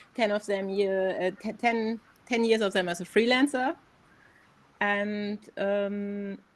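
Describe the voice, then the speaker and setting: The voice carries a German accent and fairly even intonation. The pace is very slow. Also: woman, medium pitch for a woman. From Germany. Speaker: AI artist, advertising creative. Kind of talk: interview. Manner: halting.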